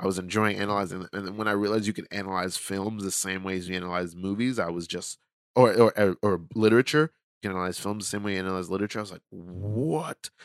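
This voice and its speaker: A man with an American accent talks very fast at a fairly low pitch with fairly even intonation, in a dry, close recording with no echo that is very clean against a silent background. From New York, Brooklyn. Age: 30s. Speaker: rapper and performance artist. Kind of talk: casual chat.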